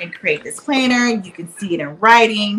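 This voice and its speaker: Over noticeable background noise, a woman with a Southern US accent speaks with lively intonation. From Alabama, US South. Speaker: reality TV cast member. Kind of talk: casual chat.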